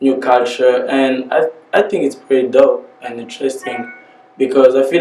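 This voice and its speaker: Music plays in the background. Over it, a man with a Congolese accent speaks at a medium pitch and a moderate pace. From DR Congo. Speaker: rapper. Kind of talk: interview. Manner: casual.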